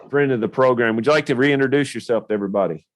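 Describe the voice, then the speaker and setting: In a Tennessee accent, a man speaks at a medium pitch with ordinary pitch variation against a quiet background. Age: younger than 56. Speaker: podcast host. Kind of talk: podcast interview.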